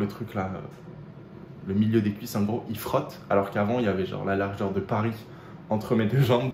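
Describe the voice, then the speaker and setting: Amid noticeable background noise and audible room echo, a man talks fairly quickly at a fairly low pitch. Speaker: fitness vlogger. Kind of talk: casual vlog. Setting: outdoors walking home, then at home. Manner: animated.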